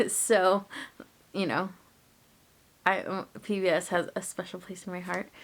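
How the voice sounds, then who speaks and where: A medium-pitched woman's voice in a Spanish accent, with monotone, flat intonation, a fairly slow pace and long, frequent pauses. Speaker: book vlogger. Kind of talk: casual vlog talk. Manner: casual, many fillers (um, like).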